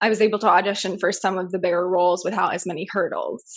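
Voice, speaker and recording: Using a normal speaking voice, a woman with an American accent talks at medium pitch with ordinary pitch variation. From US Midwest. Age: 20s. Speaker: actress. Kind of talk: interview.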